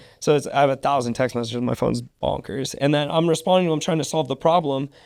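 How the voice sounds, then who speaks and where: A very fast-talking man with a fairly high pitch. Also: ordinary pitch variation. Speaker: MMA fighter and business owner. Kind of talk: podcast interview. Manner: casual, filler-heavy speech.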